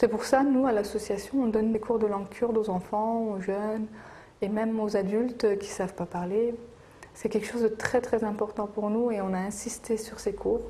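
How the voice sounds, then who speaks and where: The intonation is monotone and flat. Delivery moves at a moderate pace. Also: woman, fairly high pitch for a woman. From France. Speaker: Kurdish community association member. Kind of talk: documentary interview. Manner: hesitant, many fillers.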